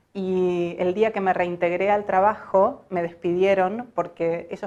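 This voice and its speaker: Here a woman talks. Her intonation stays monotone and flat. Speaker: voice-over artist. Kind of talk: personal story told to camera.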